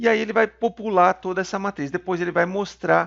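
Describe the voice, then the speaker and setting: A man's high voice at a moderate pace with fairly even intonation, dry and close with no echo, against a quiet background. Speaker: programming teacher. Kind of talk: tutorial.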